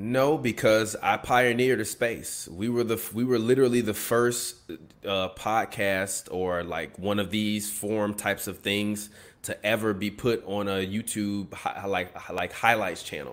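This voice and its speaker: With an American accent and an ordinary speaking voice, a man with a fairly low pitch talks at a fairly slow pace with fairly even intonation. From Chicago. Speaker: sports podcaster and media company co-founder. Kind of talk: casual interview chat.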